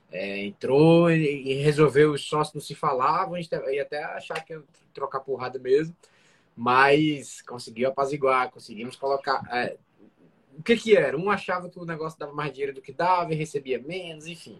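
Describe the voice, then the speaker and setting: Somewhat breathy, a man with a fairly high pitch speaks at a moderate pace, showing ordinary pitch variation and big swings in loudness. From Brazil, Fortaleza, Ceará. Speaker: restaurant entrepreneur co-host. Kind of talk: casual live business talk. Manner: halting, repeats words.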